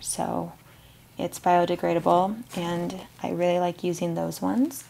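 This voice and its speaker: A soft-spoken woman at a fairly slow pace, with light background noise. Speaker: candle business owner. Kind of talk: ASMR packaging video, casual talk to camera. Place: workshop.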